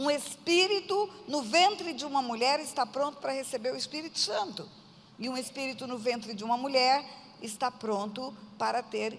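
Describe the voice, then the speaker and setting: At a moderate pace, a woman speaks with a high pitch and lively intonation against noticeable background noise. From Brazil, Mato Grosso do Sul (Aquidauana). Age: 60s. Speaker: pastor. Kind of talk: sermon testimony.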